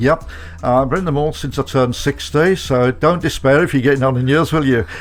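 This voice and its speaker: A man with a Birmingham accent speaks at a fairly high pitch. His pitch variation is ordinary, and music plays in the background. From Birmingham, England. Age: 70s. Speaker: motivational speaker and author. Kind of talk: radio interview. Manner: halting, with many fillers.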